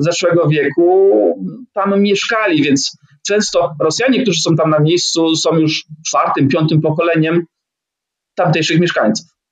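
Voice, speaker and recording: Over a quiet background, a man with a high pitch talks at a fairly slow pace, keeping his loudness very even and his pitch variation ordinary. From Poland. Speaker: traveller and blogger; blogger. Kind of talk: interview. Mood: calm storytelling. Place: home room. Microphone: webcam.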